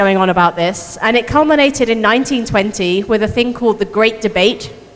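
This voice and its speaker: Amid noticeable background noise, a woman speaks at a fairly high pitch with lively intonation. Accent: British. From United Kingdom. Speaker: astronomer. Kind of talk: public science talk.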